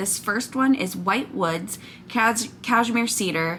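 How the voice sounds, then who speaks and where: A woman speaks very slowly with lively intonation over noticeable background noise. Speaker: wax melt reviewer, YouTuber. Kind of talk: product haul review. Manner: loud; animated.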